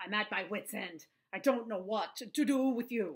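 In a put-on character voice, a female-sounding speaker growls at a fairly high pitch and a moderate pace, sounding gruff. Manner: exasperated, fed up.

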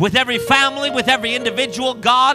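With clear music in the background, a man speaks in a raised, projected voice. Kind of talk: prayer. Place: church. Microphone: handheld.

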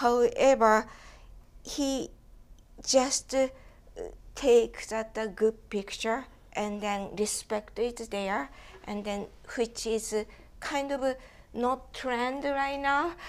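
A woman with a Japanese accent speaks at a very slow pace in a high pitch, with ordinary pitch variation. Her speech has long, frequent pauses. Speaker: photo book consultant, publisher; panelist. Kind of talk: panel discussion. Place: home room. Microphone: lapel.

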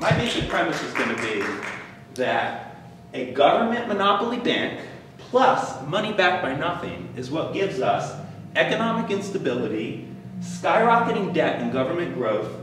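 Audible room echo and noticeable background noise surround a man speaking in a high voice. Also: moderate pace. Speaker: presenter. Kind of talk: lecture. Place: meeting room. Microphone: camera far.

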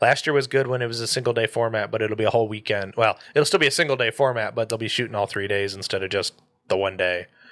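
A man with an American accent talks at a very fast pace with ordinary pitch variation. The background is quiet. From Michigan. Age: 20s. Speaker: podcast host. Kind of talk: casual chat. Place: home room. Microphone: studio mic.

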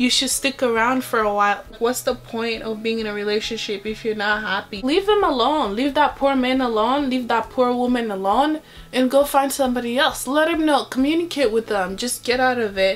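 A woman talks at a fairly quick pace in a high pitch. She barely pauses, and her pitch variation is ordinary. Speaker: beauty vlogger. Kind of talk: casual vlog chat. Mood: earnest, opinionated. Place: home room. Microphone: phone near.

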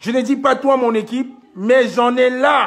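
The speaker's tone is angry. The background is quiet. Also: man. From Cameroon. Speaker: activist live-streamer. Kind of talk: angry rant. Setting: live stream. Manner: angry, accusatory, emphatic; repetitive, urgent, confrontational. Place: home room. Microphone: phone near.

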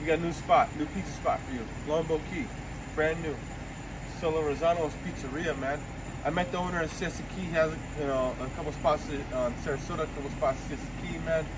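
Very fast pace over noticeable background noise. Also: man. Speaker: food vlogger. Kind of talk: casual vlog chat. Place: street. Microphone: phone near.

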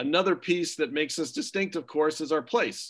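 A man's lively intonation at a moderate pace, over a quiet background. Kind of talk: presentation to families. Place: home room. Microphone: video call.

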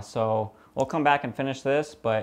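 A man speaks at a moderate pace, and his pitch varies in an ordinary way. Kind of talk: tutorial. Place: workshop. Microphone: lapel.

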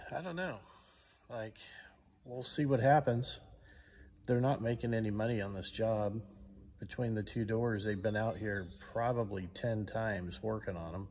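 A man at a medium pitch with an American accent, ordinary pitch variation, a moderate pace and long, frequent pauses. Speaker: channel host and vlogger. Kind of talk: angry rant, sarcastic complaint about supply delays. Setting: shop recliner, home workshop. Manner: exasperated, incredulous, rhetorical questions; casual, conversational. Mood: frustrated, exasperated. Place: garage. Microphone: phone near.

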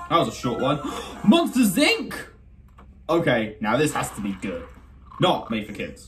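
Faint music plays behind a man speaking at a moderate pace. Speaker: reaction video creator. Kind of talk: casual reaction commentary. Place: home room. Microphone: phone near.

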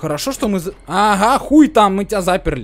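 Noticeable background noise surrounds a man talking in a high pitch. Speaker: gaming youtuber. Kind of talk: let's play commentary. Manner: animated.

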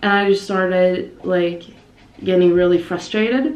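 Audible room echo surrounds a woman as she talks. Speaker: vlogger. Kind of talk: casual vlog chat. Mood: amused storytelling. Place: home room. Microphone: phone near.

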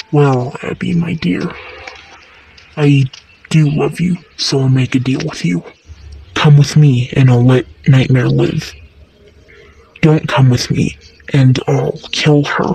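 A low-to-middle pitch with long, frequent pauses. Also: fairly slow pace. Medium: fan dub. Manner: menacing, falsely sweet.

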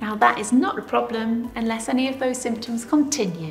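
A woman talks at a moderate pace, with faint music in the background. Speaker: fitness instructor. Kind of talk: tutorial. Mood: warm, encouraging. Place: studio.

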